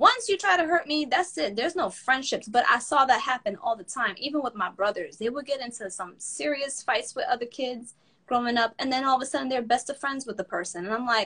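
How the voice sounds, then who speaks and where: A woman talks at a fairly quick pace, with hardly any pauses, in a high, raised and projected voice. Her tone is animated, bright and sharp, and her intonation is lively. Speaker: podcast host. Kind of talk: casual chat.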